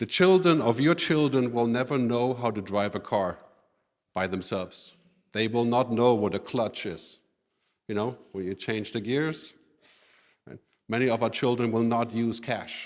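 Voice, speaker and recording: Against a silent background in a very clean recording, a man with a German accent speaks at a medium pitch and moderate pace, with ordinary pitch variation and long, frequent pauses. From Germany. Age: 50s. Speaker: futurist speaker. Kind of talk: conference keynote. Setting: stage with audience.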